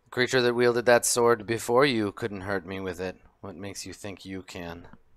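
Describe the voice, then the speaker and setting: A man's rumbling, put-on character voice, fairly low in pitch, at a moderate pace. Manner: sneering, contemptuous.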